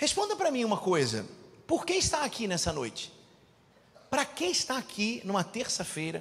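Over noticeable background noise, a man's high-pitched voice makes very wide pitch swings, broken by long, frequent pauses. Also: moderate pace. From Rio de Janeiro, Brazil. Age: 40s. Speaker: preacher and business mentor. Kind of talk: sermon.

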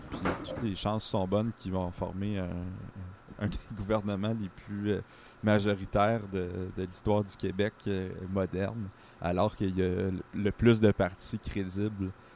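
Using a monotone, flat intonation, a man with a Quebec accent speaks at a fairly slow pace in a fairly low pitch, with long, frequent pauses. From Quebec, Sherbrooke. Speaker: political columnist. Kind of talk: conversational commentary. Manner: halting.

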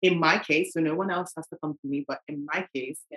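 A woman with a London accent speaks at a very deep, low pitch with fairly even intonation. The sound is dry and close, with no echo. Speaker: parent. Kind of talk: casual chat.

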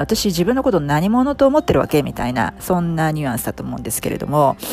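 This woman talks at a very fast pace in a very deep, low pitch, with very wide pitch swings. Noticeable background noise is present. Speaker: coaching podcast host and English coach. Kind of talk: casual explanatory monologue, Japanese mixed with English. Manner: fast when speaking English; many fillers and hesitations.

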